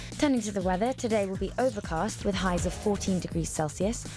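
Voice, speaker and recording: A woman with a British accent, talking at a fairly quick pace over music in the background. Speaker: radio news presenter. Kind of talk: radio news bulletin read.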